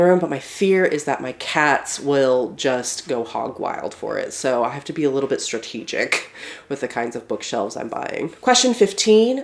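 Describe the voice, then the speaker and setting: A woman talks at a moderate pace with very wide pitch swings. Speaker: book reviewer, aspiring fantasy author. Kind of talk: casual talk to camera.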